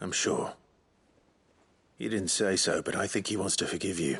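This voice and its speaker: Putting on a character voice, a man talks in a raspy, very deep, low pitch with a calm tone at a moderate pace. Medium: video game. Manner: calm, measured, formal.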